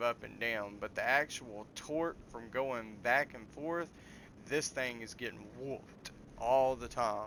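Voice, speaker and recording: A man with a Southern US accent and a bright, sharp tone speaks at a fairly slow pace with ordinary pitch variation. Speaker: gaming video creator. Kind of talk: gameplay commentary. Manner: casual, with hesitations and restarts.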